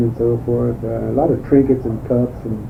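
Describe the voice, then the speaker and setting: A man speaks at a medium pitch and a fairly slow pace. Noticeable background noise and audible room echo fill the recording. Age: 60s. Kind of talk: oral history interview. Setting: interview at home, cassette recording. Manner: halting.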